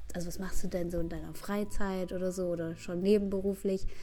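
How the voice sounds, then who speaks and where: Speaking at a fairly quick pace, a woman has a medium pitch and a dark, mellow tone. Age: young. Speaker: trainee dance teacher. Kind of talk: interview.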